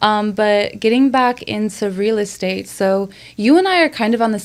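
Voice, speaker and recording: In an American accent, a plain, everyday voice speaks at a moderate pace with ordinary pitch variation. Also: woman. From Chicago, US Midwest. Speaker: podcast co-host, marketing and branding. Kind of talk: casual podcast interview.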